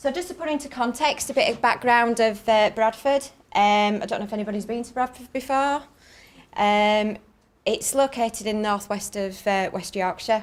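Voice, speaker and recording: Speaking with a northern English accent, a woman uses a fairly high pitch and ordinary pitch variation, her loudness swinging widely. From northern England. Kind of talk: conference talk. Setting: conference stage with audience. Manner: fast.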